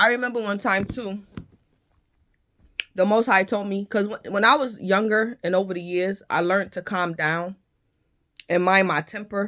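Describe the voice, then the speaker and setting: Loud and bright, with a sharp tone, a woman talks at medium pitch and a moderate pace, her intonation fairly even and her pauses long and frequent. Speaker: tarot reader and content creator. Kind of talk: spoken testimony monologue.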